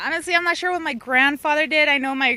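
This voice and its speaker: A bright, sharp voice with lively intonation, in a Californian accent. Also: woman. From Glendale, Los Angeles, California. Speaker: interviewee. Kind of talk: street interview.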